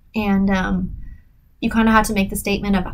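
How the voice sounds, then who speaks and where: A woman talks at a very fast pace with a medium pitch. Audible room echo surrounds her voice. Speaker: podcast host, writer. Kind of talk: solo podcast talk. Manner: casual, hesitant with fillers.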